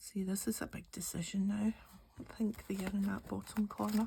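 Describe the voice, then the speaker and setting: A woman with a Glaswegian accent speaks at a fairly slow pace, her medium-pitched voice carrying a relaxed tone. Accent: Glaswegian Scottish. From Scotland, Glasgow. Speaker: craft YouTuber. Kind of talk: casual chat while crafting.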